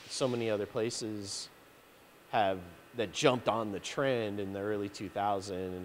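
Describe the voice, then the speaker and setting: Light background noise sits behind a man who is speaking. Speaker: interviewee. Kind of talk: interview answer. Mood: relaxed, reflective, some laughter. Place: workshop. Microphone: handheld.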